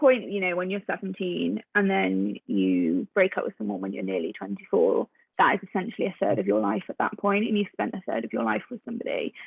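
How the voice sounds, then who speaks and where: A woman speaks with a British accent at a fairly quick pace. She takes hardly any pauses. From UK. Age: 20s. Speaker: HR professional. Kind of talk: interview.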